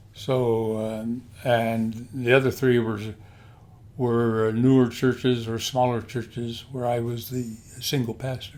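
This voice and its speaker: Here a man speaks with an American accent. His delivery is very slow and flat, in a monotone. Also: medium pitch for a man. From US Pacific Northwest, Portland. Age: 80s+. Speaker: retired pastor. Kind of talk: casual interview. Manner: halting.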